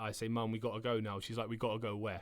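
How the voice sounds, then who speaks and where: A man speaks at medium pitch with a southern English accent. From south England. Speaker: footballer. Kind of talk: interview answer.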